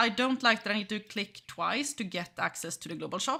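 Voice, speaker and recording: A woman projects her voice in a raised, bright, sharp tone. She moves at a moderate pace with very wide pitch swings. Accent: Swedish. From Sweden. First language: Swedish. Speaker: gaming streamer, game company employee. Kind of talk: gameplay livestream commentary. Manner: casual, hesitant with fillers.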